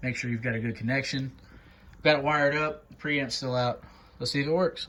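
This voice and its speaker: Bright and sharp in tone, a man talks at a fairly high pitch and a fairly quick pace with fairly even intonation. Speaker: bass player in a cover band. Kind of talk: casual repair tutorial to camera.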